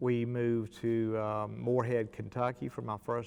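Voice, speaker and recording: A man with a Mississippi accent speaks at a medium pitch. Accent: Mississippi Southern. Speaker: artist and college art instructor. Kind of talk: interview monologue. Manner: halting.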